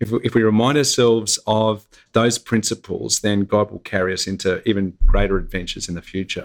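Speaking with an Australian accent, a man uses a fairly low pitch and fairly even intonation at a moderate pace, on a very clean recording with a silent background. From Australia, Gold Coast. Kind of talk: interview. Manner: halting, many fillers.

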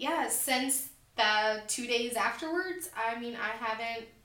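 Amid noticeable background noise and audible room echo, a woman talks at a high pitch. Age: 20s. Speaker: weight loss surgery patient. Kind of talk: interview.

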